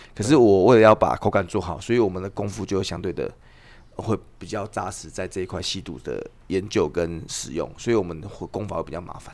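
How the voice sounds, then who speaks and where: The pitch of this man is very deep and low. He talks fairly quickly. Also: ordinary pitch variation, big swings in loudness. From Taiwan. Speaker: tea farmer. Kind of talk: casual chat.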